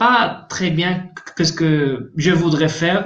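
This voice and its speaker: Speaking very slowly, a man with a Spanish accent uses a fairly high pitch. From Spain, Andalusia (Malaga). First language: Spanish (speaking French). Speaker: volunteer. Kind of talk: interview. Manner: halting, repeats words.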